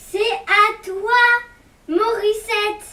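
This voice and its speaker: The voice is a put-on character voice at an extremely high pitch. Its intonation is monotone and flat. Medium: solo performance. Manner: curt, teasing.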